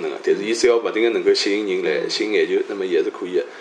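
A man speaks in a Shanghai accent. Noticeable background noise can be heard. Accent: native Shanghainese speaker. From Shanghai (Luwan district). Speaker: economist, scholar. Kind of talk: interview conversation.

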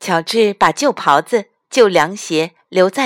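Lively intonation from a natural reading voice, quiet background

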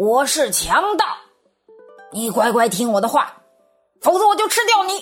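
A gruff, put-on character voice speaks at a moderate pace with long, frequent pauses. Faint music plays in the background. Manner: threatening.

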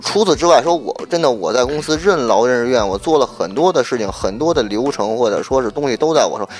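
Noticeable background noise sits behind a man with a medium pitch and lively intonation. He talks at a fairly quick pace with hardly any pauses. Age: 30s. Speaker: TV program director. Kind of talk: casual chat. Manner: halting, with repeated words.

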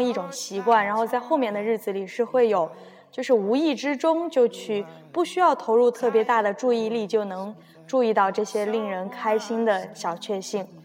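An ordinary speaking voice from a woman, fairly high in pitch, with ordinary pitch variation at a moderate pace. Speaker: radio host. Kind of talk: casual chat mixed with reading aloud.

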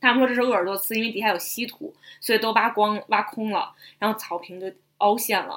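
Her pitch fairly high, a woman talks at a very fast pace. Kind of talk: casual chat.

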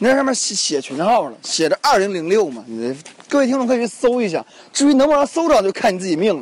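Over noticeable background noise, a man talks at a very fast pace in an animated tone with very wide pitch swings. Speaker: radio host. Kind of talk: casual travel commentary. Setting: outdoors on a mountain.

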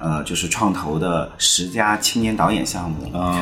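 A man speaks with a very deep, low pitch at a fairly quick pace. His pitch varies in an ordinary way, and room echo is audible. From Chengdu, Sichuan, China. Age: 40s. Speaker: film director. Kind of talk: podcast interview.

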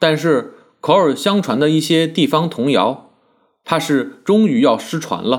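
A man with a fairly high pitch, lively intonation and an ordinary speaking voice, at a fairly slow pace. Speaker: essayist. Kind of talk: essay reading.

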